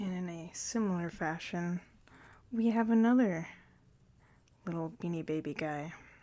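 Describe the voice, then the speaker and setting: A soft-spoken woman talks in a relaxed tone with a fairly low, dark, mellow voice. She leaves long, frequent pauses, and the recording is very clean with a silent background. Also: ordinary pitch variation, moderate pace. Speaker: ASMR content creator. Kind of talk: ASMR thrift haul show-and-tell. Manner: soft-spoken, relaxed.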